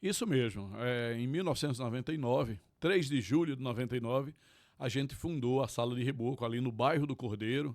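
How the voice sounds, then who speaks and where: Fairly quick speech from a man at a medium pitch, ordinary pitch variation, very clean recording with a silent background. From Pernambuco sertão, Tacaratu. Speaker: forró venue owner, lawyer. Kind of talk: interview. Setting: studio.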